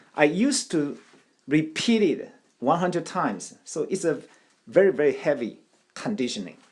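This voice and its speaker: A man with a Taiwanese accent speaks at a high pitch. His pitch swings very widely, with long, frequent pauses. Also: moderate pace. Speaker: language learning teacher. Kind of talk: tutorial. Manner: halting, with repetitions and fillers.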